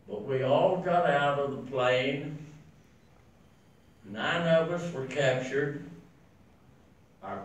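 Very slow and marked by long, frequent pauses, a man's fairly high-pitched voice shows ordinary pitch variation in audible room echo. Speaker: war veteran. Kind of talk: speech to an audience. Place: meeting room.

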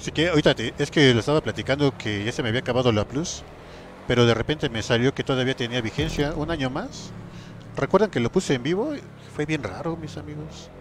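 Talking at a very fast pace, a man of medium pitch has an animated tone and ordinary pitch variation. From Mexico, rural. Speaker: gaming streamer. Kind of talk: live gameplay stream chat. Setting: live stream.

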